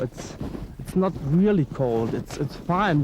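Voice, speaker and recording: Delivered at a fairly slow pace, the speech has noticeable background noise behind it. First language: German. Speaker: snowshoe guide. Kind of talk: casual explanation on a walk. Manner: halting.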